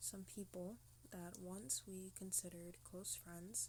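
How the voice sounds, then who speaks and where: A woman is whispering. Her pace is fairly slow. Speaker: vlogger asking for help. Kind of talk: personal testimony vlog. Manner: halting. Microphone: low quality, quiet audio.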